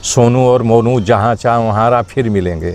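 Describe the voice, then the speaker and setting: His intonation fairly even, a man speaks. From Uttar Pradesh, India (Bhadohi). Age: 60s. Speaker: actor. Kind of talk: interview.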